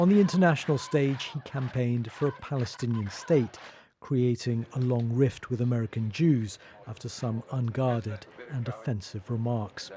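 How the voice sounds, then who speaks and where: The man's voice has a dark, mellow tone and is somewhat breathy. His medium pitch shows ordinary pitch variation at a moderate pace. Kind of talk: TV news report voiceover.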